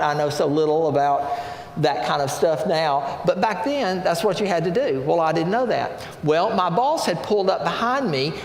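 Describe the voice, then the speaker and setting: With lively intonation and a high pitch, a man talks at a moderate pace amid noticeable background noise and audible room echo. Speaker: pastor. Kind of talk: sermon.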